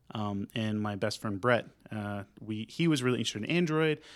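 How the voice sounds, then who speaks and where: With an American accent, a man in an unremarkable speaking voice talks at a moderate pace with ordinary pitch variation, in a very clean recording with a silent background. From North Texas (Sanger, near Denton). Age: 20s. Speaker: tech community organizer and web developer. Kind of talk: casual interview chat.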